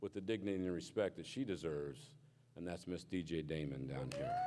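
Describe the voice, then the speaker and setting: Loud and dark with a mellow tone, a man's voice moves at a moderate pace through very wide pitch swings. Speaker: incoming state association officer. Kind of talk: acceptance speech.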